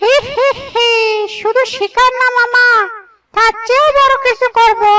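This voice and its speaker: A cartoonish character voice speaks at an extremely high pitch. The delivery keeps a moderate pace. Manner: emotional, exclamatory.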